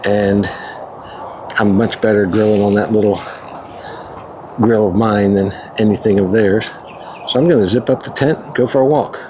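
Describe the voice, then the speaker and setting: Amid noticeable background noise, a man with a fairly low pitch talks at a moderate pace, using ordinary pitch variation and long, frequent pauses. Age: 60s. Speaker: camping vlogger. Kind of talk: casual vlog narration. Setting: outdoors.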